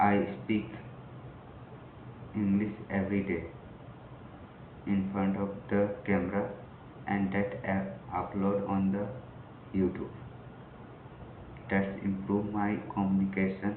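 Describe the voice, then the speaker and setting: Speech with monotone, flat intonation comes very slowly, broken by long, frequent pauses, with audible room echo. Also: man, fairly low pitch for a man. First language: not English. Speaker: English learner vlogger. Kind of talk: personal vlog. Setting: recording to camera. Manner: halting.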